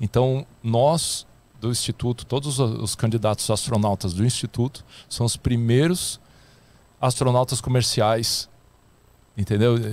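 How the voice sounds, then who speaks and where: A man's voice at a fairly slow pace, with long, frequent pauses, ordinary pitch variation, and a dry sound with no echo. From Rio de Janeiro, Brazil. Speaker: astronaut candidate and scientist; candidate. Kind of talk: casual interview. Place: studio. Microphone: studio mic.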